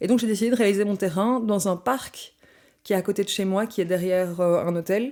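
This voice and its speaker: Speaking at a moderate pace with a Belgian accent, a woman uses a medium pitch, a dark, mellow tone and fairly even intonation. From Belgium, Brussels. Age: 20s. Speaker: anthropology student. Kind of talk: podcast interview. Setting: studio.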